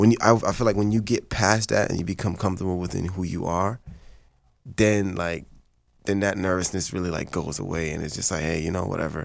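In a very clean recording with a silent background, a man with a Haitian accent talks at a fairly quick pace. His voice is very deep and low, with fairly even intonation. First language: Haitian Creole. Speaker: actor. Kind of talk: casual chat.

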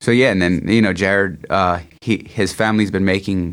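A man with a Philadelphia accent and a very deep, low voice, at a moderate pace with fairly even intonation, in a very clean recording with a silent background. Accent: Philadelphia-area American. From US Northeast, Norristown near Philadelphia. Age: 30s. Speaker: designer and pro skateboarder. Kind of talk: casual interview. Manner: halting, many fillers and repetitions.

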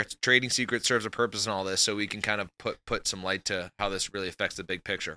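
With hardly any pauses, a man speaks at a very fast pace at a fairly low pitch with a bright, sharp tone, the sound dry and close with no echo in a very clean recording over a silent background. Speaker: podcast co-host. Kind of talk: casual chat. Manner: animated.

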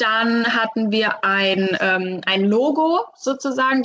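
At a very slow pace, a woman speaks in a fairly high voice with ordinary pitch variation. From Hesse, near Frankfurt. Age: 20s. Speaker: master painter and decorator. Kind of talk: interview. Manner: hesitant, many fillers.

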